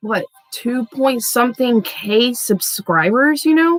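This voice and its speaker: The woman's voice comes through dry and close, with no echo. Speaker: tarot reader. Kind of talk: casual tarot reading livestream. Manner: fast; scattered.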